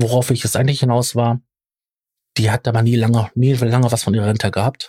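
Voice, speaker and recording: Very fast speech comes from a man at a medium pitch, somewhat breathy with a dark, mellow tone. The sound is dry and close, with no echo. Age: 40s. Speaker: podcast host. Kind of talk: casual discussion. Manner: hesitant, many filler sounds.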